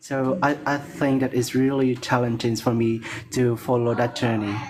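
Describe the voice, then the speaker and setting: In a non-native accent, the speaker keeps a monotone, flat intonation and very even loudness at a moderate pace. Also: man. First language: not English. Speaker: English learner. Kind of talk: casual chat. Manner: halting.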